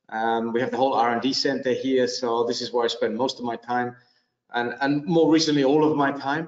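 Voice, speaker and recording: A man talking fairly quickly with fairly even intonation, some room echo audible, the background quiet. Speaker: panelist. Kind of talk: interview answer. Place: studio. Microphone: video call.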